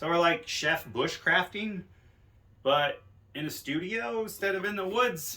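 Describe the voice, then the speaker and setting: A loud male voice. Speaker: outdoor cooking vlogger. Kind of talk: casual vlog tutorial. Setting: garage home studio. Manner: casual rambling.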